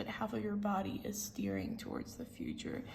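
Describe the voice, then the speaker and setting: Female speech amid noticeable background noise, with audible room echo. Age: 20s. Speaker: tarot reader. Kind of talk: tarot reading. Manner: casual, filler-heavy.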